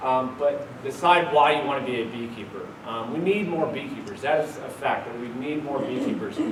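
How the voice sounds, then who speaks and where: There is noticeable background noise and audible room echo as a man talks with a fairly high pitch. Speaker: beekeeper giving a talk. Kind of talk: lecture. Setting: stage with audience.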